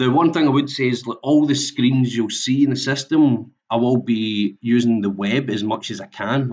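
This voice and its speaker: With a Scottish accent, a man speaks at a medium pitch with ordinary pitch variation. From Scotland. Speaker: software implementation consultant. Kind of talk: webinar presentation. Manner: halting, many fillers.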